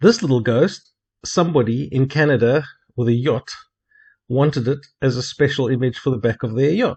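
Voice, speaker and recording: Somewhat breathy and pausing long and often, a man with a South African accent speaks at a medium pitch with ordinary pitch variation. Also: moderate pace. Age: 50s. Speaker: hobby cartoonist. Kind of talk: narrated video introduction.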